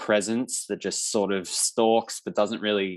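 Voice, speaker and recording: With an Australian accent, a man talks at a fairly slow pace and a fairly low pitch. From Australia, Victoria. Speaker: filmmaker. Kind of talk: panel Q&A.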